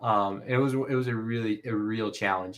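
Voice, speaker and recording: A man's voice at medium pitch. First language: not English. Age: 20s. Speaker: LEGO content creator and author. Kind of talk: casual interview chat. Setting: live stream. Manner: halting, many fillers and restarts.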